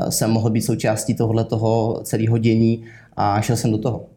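Audible room echo surrounds a man speaking at a moderate pace and medium pitch, his tone dark, mellow and somewhat breathy. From southern Bohemia, Czechia. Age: 20s. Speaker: sales manager. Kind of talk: interview. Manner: halting.

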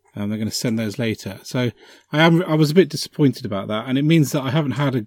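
Recorded dry and close with no echo against a silent, very clean background, a man with a British accent speaks at a medium pitch with lively intonation. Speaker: podcast host. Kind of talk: casual chat.

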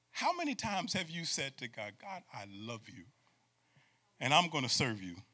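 Animated and bright with a sharp tone, a man speaks at a moderate pace with vocal fry, very wide pitch swings, big swings in loudness, and long, frequent pauses. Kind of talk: sermon to a live congregation, preacher in full flow. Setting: church with live audience. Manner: animated, call-and-response, urging the crowd to shout back; emphatic, rhythmic, repeating phrases for effect.

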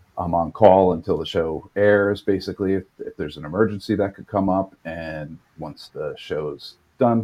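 A man with an American accent speaks in a plain, everyday voice, pitched fairly low, at a moderate pace. His loudness swings widely. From New York. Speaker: TV editor. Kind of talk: interview.

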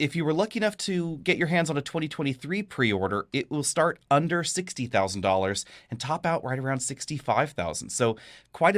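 A man talks fairly quickly at a fairly high pitch, his pitch swinging very widely. The recording is very clean, with a silent background. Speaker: car reviewer. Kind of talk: casual chat.

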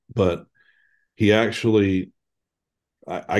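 A man speaks against a quiet background. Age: 40s. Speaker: father sharing family experience. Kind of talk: faith testimony interview.

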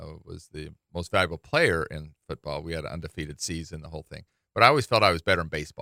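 Very fast and in an American accent, a man with a very deep, low pitch and a bright, sharp tone speaks with ordinary pitch variation and big swings in loudness, the sound dry and close with no echo. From Utah, Salt Lake City. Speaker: university athletics director. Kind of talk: radio interview. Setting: radio studio.

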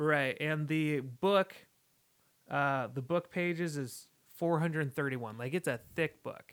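Recorded with a dry, close sound and no echo, a man with a fairly high pitch uses an ordinary speaking voice, ordinary pitch variation and a fairly slow pace. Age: 20s. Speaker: podcast co-host. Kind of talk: casual chat. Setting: studio.

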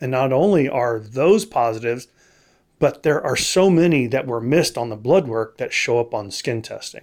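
This is an unremarkable speaking voice with an American accent. The intonation is lively. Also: man, medium pitch for a man, moderate pace. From Texas. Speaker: allergist. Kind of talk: interview.

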